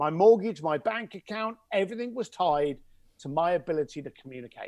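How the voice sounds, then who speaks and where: Someone speaks with a Cockney accent in an animated tone. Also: man. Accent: London Cockney English. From East London, England. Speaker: connector to wealthy clients, speaker and author. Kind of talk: podcast interview. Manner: animated storytelling.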